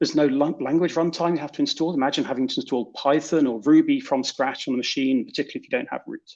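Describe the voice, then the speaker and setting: A man speaks with a British accent. He talks at a very fast pace. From Britain. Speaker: software developer. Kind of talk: conference talk.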